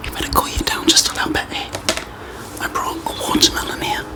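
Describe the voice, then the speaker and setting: Someone whispers at a fairly quick pace in a relaxed tone over noticeable background noise. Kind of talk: ASMR whisper talk to camera. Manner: soft-spoken, relaxed.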